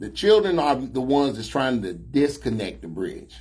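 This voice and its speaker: At a moderate pace, a man talks at a medium pitch, with audible room echo around him. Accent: American. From Chicago. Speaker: talk show host. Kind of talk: casual chat.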